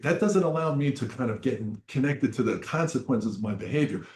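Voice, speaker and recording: Somewhat breathy, a man talks at a fairly quick pace and a fairly high pitch with lively intonation. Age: 70s. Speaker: addiction counselor. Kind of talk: presentation. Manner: repetitive, halting.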